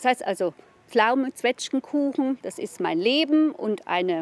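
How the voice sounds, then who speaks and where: Her pitch swings very widely as a woman speaks at a fairly slow pace, the sound dry with no echo. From southern Thuringia, Itz valley. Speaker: kindergarten teacher. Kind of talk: interview answer. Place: garden.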